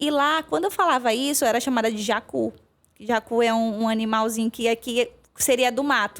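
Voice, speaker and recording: Heard on a very clean recording with a silent background, the speaker talks at a moderate pace with ordinary pitch variation in a strong northeastern Brazilian accent. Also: woman, fairly high pitch for a woman. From Maranhão, northeast Brazil. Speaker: veterinarian. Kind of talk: podcast interview.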